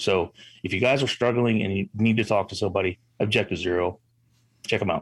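A man with an American accent in a normal speaking voice, fairly low-pitched, fairly quick, with fairly even intonation. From Illinois. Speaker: veteran, show co-host. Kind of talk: casual chat.

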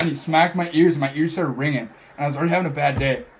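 Speaking at a very fast pace, a man keeps his intonation fairly even. His voice is somewhat breathy and fairly high-pitched. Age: 20s. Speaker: podcaster. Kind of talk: casual chat. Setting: studio, in person.

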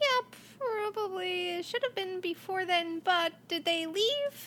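This woman uses a put-on character voice that is squeaky and extremely high in pitch. She goes at a fairly slow pace with lively intonation. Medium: actual play. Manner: halting, earnest.

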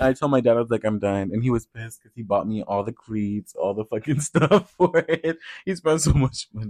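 A man with an American accent speaks in an unremarkable speaking voice at medium pitch and a fairly quick pace, with lively intonation. His loudness swings widely, and the sound is dry and close with no echo. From US Midwest, Iowa. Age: young. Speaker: podcast co-host. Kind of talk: casual chat.

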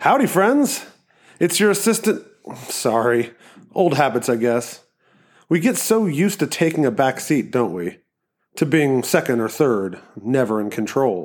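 Putting on a nasal character voice, a man speaks at a moderate pace and medium pitch, with very wide pitch swings and long, frequent pauses. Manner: smug.

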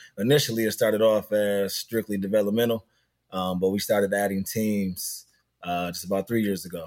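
Recorded very cleanly against a silent background, a man with an unremarkable speaking voice and fairly low pitch talks at a fairly quick pace with fairly even intonation. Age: 30s. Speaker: youth basketball program director. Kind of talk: interview.

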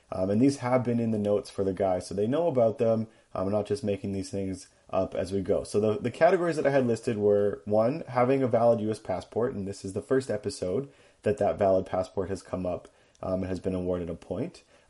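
With a slight Canadian accent, a man talks very fast in a fairly low, dark, mellow voice with ordinary pitch variation against a quiet background. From Canada. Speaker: fact checker. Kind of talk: prepared segment reading. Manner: frequent hesitations (um, uh).

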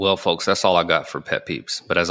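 A man talks in a Southern US accent. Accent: Southern American. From US South (Georgia). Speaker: podcast host and cigar lounge owner. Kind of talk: casual chat. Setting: recording in his cigar lounge.

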